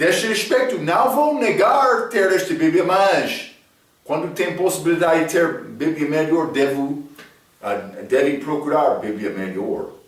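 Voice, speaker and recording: In an English accent, a man speaks in a high voice with very wide pitch swings, and audible room echo surrounds him. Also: fairly slow pace. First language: English (speaking Portuguese). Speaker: Bible teacher. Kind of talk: Bible study lecture. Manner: halting, with fillers.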